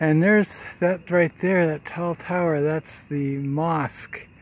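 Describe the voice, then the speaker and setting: A man speaks very slowly, keeping his intonation fairly even. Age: 60s. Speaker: vlogger. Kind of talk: casual vlog narration. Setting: outdoors. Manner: relaxed, conversational.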